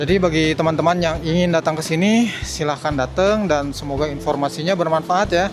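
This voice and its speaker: A man's fairly high voice at a fairly quick pace, with hardly any pauses, fairly even intonation and noticeable background noise. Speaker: street vlogger. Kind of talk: walking vlog commentary. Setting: outdoors at street market. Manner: casual, chatty.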